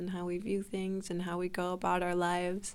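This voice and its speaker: A woman speaks in a normal speaking voice with an American accent. Her pitch is medium and her pace fairly quick. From Utah, US. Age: 20s. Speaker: music student. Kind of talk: interview answers.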